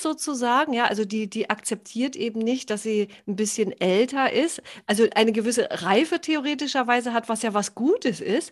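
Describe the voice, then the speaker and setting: Against a quiet background, a woman speaks at a moderate pace in a high pitch. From northern Germany, Baltic coast. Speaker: podcast host, health coach. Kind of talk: casual interview chat.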